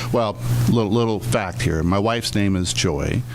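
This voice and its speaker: A man at a fairly quick pace and fairly low pitch, lively in intonation, with noticeable background noise. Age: 60s. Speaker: business owner. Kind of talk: radio interview.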